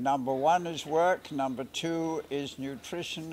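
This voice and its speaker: A man talks over light background noise. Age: 80s+. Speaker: veteran sprinter and bodybuilder. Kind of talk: interview answer. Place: stadium.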